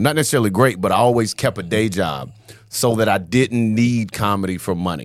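A fairly quick, normal speaking voice with an American accent and ordinary pitch variation on a very clean recording with a silent background. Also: man. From US South. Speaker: comedian. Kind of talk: casual chat.

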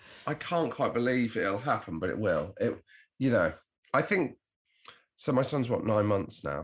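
This man speaks at a medium pitch with vocal fry and very wide pitch swings. His pace is moderate, with long, frequent pauses. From Devon, southwest England. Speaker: comedian and podcast host. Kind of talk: casual chat.

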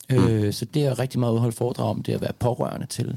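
The man's voice sits at a medium pitch and has a dark, mellow tone. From Denmark, Lyngby near Copenhagen. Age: 40s. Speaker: actor, dancer and public speaker. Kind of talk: casual interview conversation.

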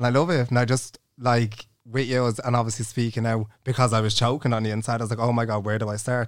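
On a very clean recording with a silent background, a man speaks very fast at a medium pitch with monotone, flat intonation. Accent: Irish. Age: 20s. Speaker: podcast co-host. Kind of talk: casual chat. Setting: studio.

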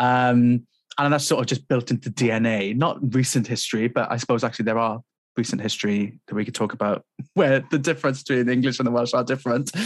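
A man talks very fast in a South Wales Valleys accent. His voice sits at a medium pitch with fairly even intonation. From Wales, South Wales Valleys. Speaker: composer. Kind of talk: casual chat.

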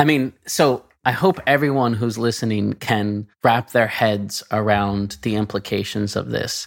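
A normal speaking voice, a man with a fairly low pitch and ordinary pitch variation at a fairly slow pace with hardly any pauses, on a very clean recording with a silent background. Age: 40s. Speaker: podcast host, games industry professional. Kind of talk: casual interview chat.

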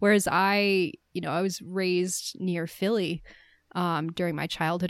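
A woman with an American accent, a plain, everyday voice, medium pitch and fairly even intonation, on a very clean recording with a silent background. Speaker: podcast host. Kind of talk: casual chat about a film.

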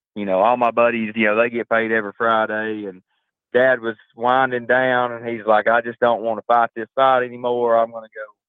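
The speaker has a strong Southern US accent. The intonation is monotone and flat. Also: man. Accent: deep Southern drawl. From Georgia, US South. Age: 30s. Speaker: construction business owner. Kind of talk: podcast interview.

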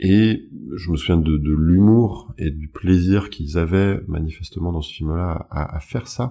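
A man talks at a fairly slow pace in a very deep, low pitch with a dark, mellow tone and ordinary pitch variation. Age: 30s. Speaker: hypnosis practitioner. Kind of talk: interview. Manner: hesitant with fillers.

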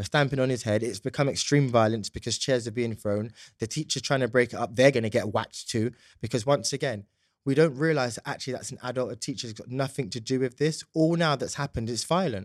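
A man with a London accent talks at a very fast pace, his pitch in the medium range with ordinary variation. The recording is very clean with a silent background, dry and close with no echo. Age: 20s. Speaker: youth justice consultant and policy advisor. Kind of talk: interview. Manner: polished speaking style.

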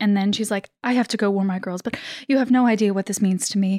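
Woman with a plain, everyday voice, fairly even intonation, dry, close sound with no echo and a very clean recording, silent background. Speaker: player in tabletop RPG.

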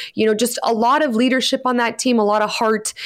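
A woman with a Canadian accent speaks in an animated tone on a very clean recording with a silent background. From Canada. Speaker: soccer podcast co-host. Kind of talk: casual sports discussion.

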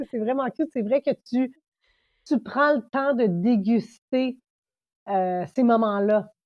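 A woman with a fairly high voice talks at a very slow pace with ordinary pitch variation. She takes long, frequent pauses. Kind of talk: casual interview.

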